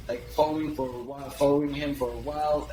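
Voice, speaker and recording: Noticeable background noise under a man speaking at a fairly high pitch. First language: French. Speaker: email copywriter, agency founder. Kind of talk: podcast interview. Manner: hesitant, many fillers and restarts.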